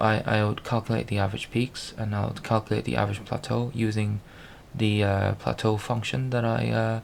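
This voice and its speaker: Mumbling at a moderate pace, a man talks in a fairly low pitch with fairly even intonation. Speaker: programmer video blogger. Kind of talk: screen-recorded tutorial walkthrough. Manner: halting, stuttering and mumbling.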